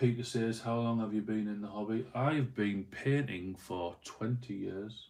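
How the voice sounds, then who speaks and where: Speaking with a Yorkshire accent, a man talks at a fairly slow pace with hardly any pauses. His pitch is medium and his intonation fairly even. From northern England, Doncaster. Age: 30s. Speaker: miniature painter live streamer. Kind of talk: casual live stream chat. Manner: casual, rambling with fillers.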